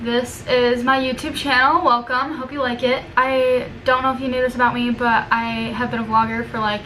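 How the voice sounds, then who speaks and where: A woman with a high voice speaks in a monotone, flat way with hardly any pauses, amid noticeable background noise and audible room echo. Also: moderate pace. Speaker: student vlogger. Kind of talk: casual vlog / video essay. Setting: room with a window at work.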